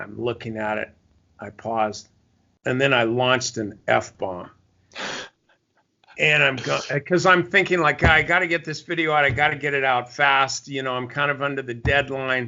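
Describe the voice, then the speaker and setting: The speaker keeps a moderate pace with ordinary pitch variation and long, frequent pauses. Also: man, medium pitch for a man. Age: 60s. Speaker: stock trading mentor. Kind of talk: casual interview.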